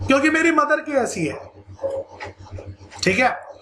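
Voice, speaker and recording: A man speaks at an extremely high pitch amid noticeable background noise and audible room echo. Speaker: school science teacher. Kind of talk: lecture. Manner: animated.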